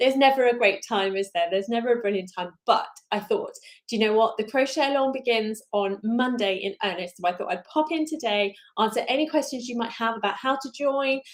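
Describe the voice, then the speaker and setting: Speaking fairly quickly with a southern English accent, a woman uses a fairly high pitch and ordinary pitch variation on a very clean recording with a silent background. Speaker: crochet designer. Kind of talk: live stream chat. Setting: live stream. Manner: fast.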